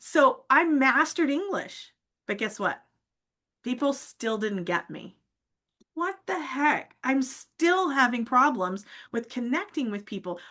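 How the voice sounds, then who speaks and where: A woman's raised, projected voice, high in pitch, bright and sharp in tone and animated, with very wide pitch swings at a fairly slow pace. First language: not English. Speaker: public speaking coach. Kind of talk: casual interview chat. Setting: live stream.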